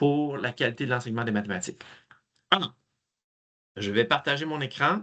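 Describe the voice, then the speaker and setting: A bright, sharp tone over a quiet background. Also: man. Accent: Quebec. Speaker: math education trainer. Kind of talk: webinar presentation.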